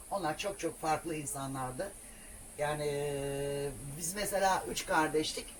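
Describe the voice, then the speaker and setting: Pitched very deep and low, a woman speaks at a very slow pace with ordinary pitch variation. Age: 60s. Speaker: solo camper van traveller. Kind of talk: casual interview.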